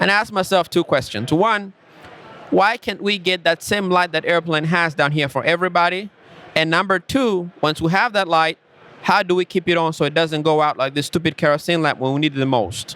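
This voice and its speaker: In an African accent, a man talks at a fairly quick pace in a high voice. His loudness stays very even, and his pitch varies in an ordinary way. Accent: African accent, self-described. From Rwanda. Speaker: tech company founder. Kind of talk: podcast interview.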